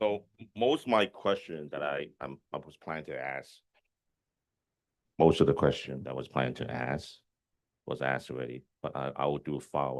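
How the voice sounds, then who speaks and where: Using a very deep, low pitch with vocal fry, a man speaks at a moderate pace with ordinary pitch variation and long, frequent pauses. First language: not English. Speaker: community board member. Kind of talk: public meeting questions. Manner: halting.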